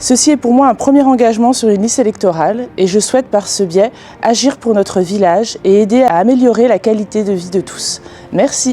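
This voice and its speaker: Noticeable background noise accompanies a woman with a fairly high pitch. She talks at a fairly quick pace. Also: ordinary pitch variation. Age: 40s. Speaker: nurse and local election candidate. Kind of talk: candidate self-introduction video.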